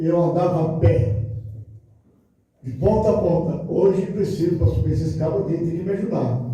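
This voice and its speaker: With lively intonation and a high pitch, a man speaks at a moderate pace as room echo is heard. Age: 80s+. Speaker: pastor. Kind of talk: sermon. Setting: church. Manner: animated.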